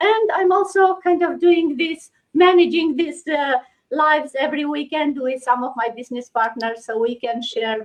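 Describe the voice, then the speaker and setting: A woman talks at a moderate pace with a Romanian accent. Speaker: online business host. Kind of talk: casual chat. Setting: livestream.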